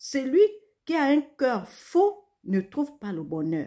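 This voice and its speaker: A woman's very slow speech with very wide pitch swings. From Gabon. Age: 60s. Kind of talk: religious exhortation. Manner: halting, repetitive stammers.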